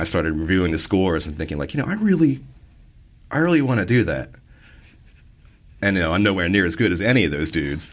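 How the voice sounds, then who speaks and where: Words pour out of a man at a very rapid clip. His voice leaps between very high and very low notes. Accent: American. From Maryland. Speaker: electronic musician. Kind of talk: casual interview. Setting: studio. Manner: casual, conversational.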